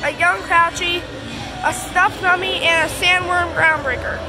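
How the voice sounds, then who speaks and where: Clear music plays in the background as a woman projects a raised voice at a moderate pace. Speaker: store tour vlogger. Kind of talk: casual vlog commentary. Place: shop. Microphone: phone near.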